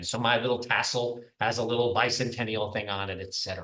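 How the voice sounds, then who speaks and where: Somewhat breathy and fairly quick, a man with an American accent speaks with ordinary pitch variation amid audible room echo. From New York, Long Island. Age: 60s. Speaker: professor. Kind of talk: lecture.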